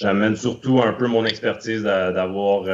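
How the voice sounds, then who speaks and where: Over noticeable background noise, a man speaks very slowly in a fairly low pitch with a monotone, flat intonation. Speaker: hockey scout. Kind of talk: interview.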